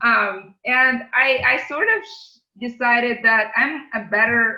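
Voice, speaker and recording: A woman with a non-native accent speaks at a fairly high pitch with lively intonation. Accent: foreign accent, kept. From outside English-speaking world, immigrated to US as teen. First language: not English. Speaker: tech company CEO and lawyer. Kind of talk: podcast interview. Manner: hesitant, many fillers and repeated words.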